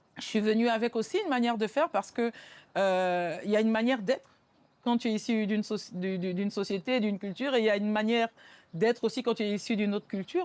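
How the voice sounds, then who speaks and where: A woman with a fairly high pitch talks at a very fast pace, her pitch variation ordinary. The recording is very clean, with a silent background. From Benin. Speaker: musician and rapper. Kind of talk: interview. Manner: hesitant, many repetitions and fillers.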